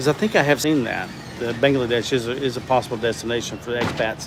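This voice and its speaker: Talking at a very fast pace in a Southern US accent, a man keeps a medium pitch and fairly even intonation against noticeable background noise. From US South. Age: 60s. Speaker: livestreamer. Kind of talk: casual chat. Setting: livestream. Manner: halting.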